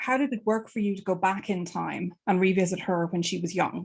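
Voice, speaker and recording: A woman speaks with an Irish accent and ordinary pitch variation. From Ireland. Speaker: book club host. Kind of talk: interview.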